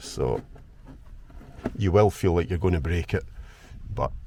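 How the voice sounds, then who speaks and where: In a Scottish accent, a man speaks with a very deep, low pitch, a dark, mellow tone and a somewhat breathy quality. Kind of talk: DIY car repair tutorial. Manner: casual, conversational.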